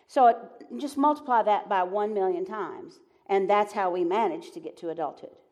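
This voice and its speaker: Speaking in a Southern US accent, a woman with a fairly high pitch keeps a moderate pace, with very wide pitch swings and big swings in loudness. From US South. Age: 70s. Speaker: Enneagram teacher and author. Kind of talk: live onstage conversation. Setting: stage with audience.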